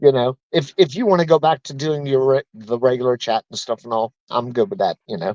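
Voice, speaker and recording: A man with an ordinary speaking voice and medium pitch talks at a fairly quick pace with lively intonation and hardly any pauses, in a dry, close sound with no echo. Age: 60s. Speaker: viewer guest on a livestream. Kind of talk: casual chat.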